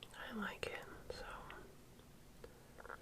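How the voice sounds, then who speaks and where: Whispering, a woman keeps a relaxed tone. Noticeable background noise sits behind her. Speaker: ASMR and beauty content creator. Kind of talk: ASMR makeup get-ready-with-me. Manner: soft-spoken, relaxed.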